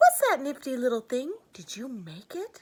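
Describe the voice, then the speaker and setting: Using a put-on character voice, a woman speaks high with very wide pitch swings. Her pace is moderate. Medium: read story. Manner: eager, earnest.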